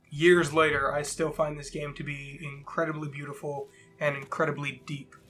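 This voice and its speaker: The speaker talks at a moderate pace in a monotone, flat delivery, with big swings in loudness and noticeable background noise. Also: man, fairly high pitch for a man. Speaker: game developer. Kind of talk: casual gameplay commentary.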